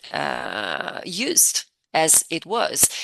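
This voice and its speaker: A woman with an Italian accent speaks with vocal fry in a bright, sharp tone, the sound dry and close with no echo. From Italy. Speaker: language coach. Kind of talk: interview.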